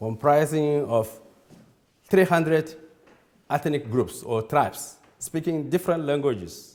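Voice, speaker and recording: A man with a Nigerian accent speaks at a fairly slow pace. His fairly high voice has lively intonation. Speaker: church leader. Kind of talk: lecture. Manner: halting.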